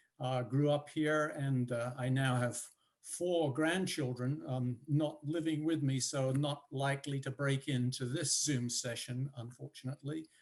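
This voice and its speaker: Speaking at a fairly slow pace with hardly any pauses, a man with a British accent uses a fairly high pitch and fairly even intonation. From United Kingdom. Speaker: professor. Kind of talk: panel discussion. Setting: video call. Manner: halting, many fillers.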